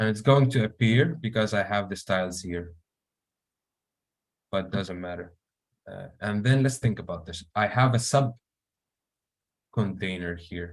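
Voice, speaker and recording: A man with an Arabic accent speaks in a fairly low pitch with ordinary variation, taking long, frequent pauses. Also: fairly slow pace. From Syria. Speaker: software engineer. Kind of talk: live coding tutorial. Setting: online meeting. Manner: hesitant, many fillers.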